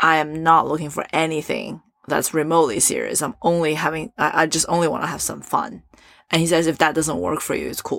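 A woman with a very deep, low pitch and vocal fry speaks at a fairly quick pace with fairly even intonation. The recording is very clean, with a silent background. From Asia and Europe. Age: 30s. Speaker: entrepreneur. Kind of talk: casual chat.

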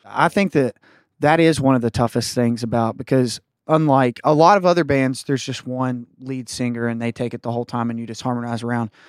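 On a very clean recording with a silent background, a man with an Appalachian accent speaks at a fairly quick pace. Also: medium pitch for a man, ordinary pitch variation. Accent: Appalachian US Southern. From West Virginia. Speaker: country band member. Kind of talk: casual interview chat.

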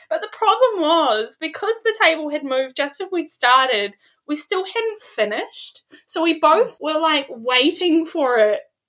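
A bright, sharp tone at a fairly slow pace, with very wide pitch swings. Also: woman, extremely high pitch for a woman. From New Zealand. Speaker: life coach guest. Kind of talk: casual chat, storytelling.

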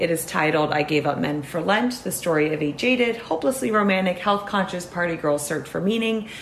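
Over noticeable background noise, a woman talks at a moderate pace and medium pitch with lively intonation. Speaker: podcast host. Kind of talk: casual interview chat.

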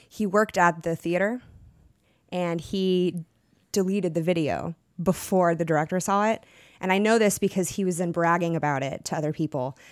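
A woman with an American accent speaks at a moderate pace in a plain, everyday voice, her fairly low pitch showing ordinary variation on a very clean recording with a silent background. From Texas. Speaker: actor. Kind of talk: casual chat.

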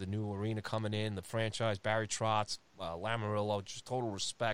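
A man speaks with a New York accent. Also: very clean recording, silent background. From Long Island, New York. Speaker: hockey podcast host. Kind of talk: casual chat.

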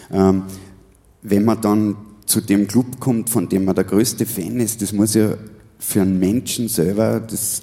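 A man with a fairly low voice speaks at a fairly slow pace with fairly even intonation and long, frequent pauses. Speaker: podcast host and musician. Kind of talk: live stage interview. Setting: stage with audience.

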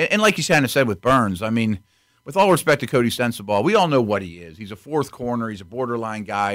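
Speaking very fast, a man at a medium pitch uses lively intonation and big swings in loudness. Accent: American. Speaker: football analyst. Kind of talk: casual chat.

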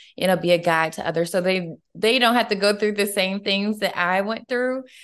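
A woman with a normal speaking voice, medium pitch and fairly even intonation. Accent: American. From US South, Atlanta, Georgia. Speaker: entrepreneur and life coach. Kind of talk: interview.

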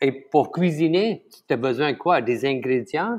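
A man speaks with a Tamil accent and a fairly high pitch. His pitch varies in an ordinary way. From Malaysia. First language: Tamil (speaking French). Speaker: chef. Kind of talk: interview. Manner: halting.

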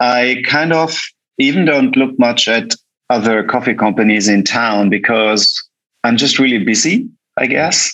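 In a German accent, a man speaks at a fairly slow pace with a bright, sharp tone, very even loudness and ordinary pitch variation. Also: medium pitch for a man. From Germany. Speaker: coffee roaster and cafe founder. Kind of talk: casual interview.

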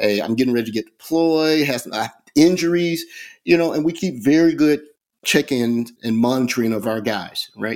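Lively intonation marks this man's unremarkable speaking voice, pitched fairly high at a moderate pace. The recording is very clean, with a silent background. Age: 50s. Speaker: running club co-founder. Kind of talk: interview.

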